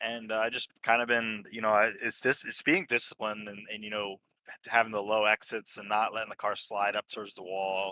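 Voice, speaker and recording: A man speaks at a fairly quick pace with a fairly low pitch and a bright, sharp tone. His intonation stays monotone and flat. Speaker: sim racing driver, race winner. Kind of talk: post-race interview. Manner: halting, many fillers.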